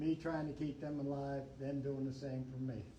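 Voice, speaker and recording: A man speaks fairly slowly in a monotone, flat way, his fairly high pitch paired with a dark, mellow tone. His voice is somewhat breathy, with audible room echo. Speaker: Vietnam war veteran, tunnel rat. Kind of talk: Q&A talk at library event. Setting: library event with audience. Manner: casual, conversational.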